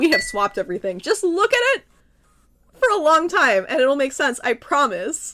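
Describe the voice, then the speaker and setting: A woman's raised, projected voice, bright and sharp in tone, moves at a moderate pace through very wide pitch swings on a very clean recording with a silent background. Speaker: VTuber streamer teaching coding. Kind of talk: casual chat with viewers; tutorial. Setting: live stream. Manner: casual, filler-heavy.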